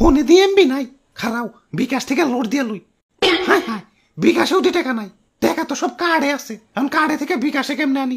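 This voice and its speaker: A cartoonish character voice speaks in a high pitch at a moderate pace. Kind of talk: comic cartoon voice acting. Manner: hurried, scornful, self-important.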